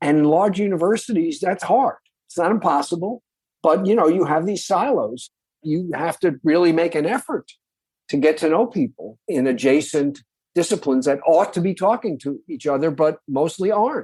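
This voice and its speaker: An American accent with lively intonation, delivered at a moderate pace. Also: man, high pitch for a man. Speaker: professor. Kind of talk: interview conversation.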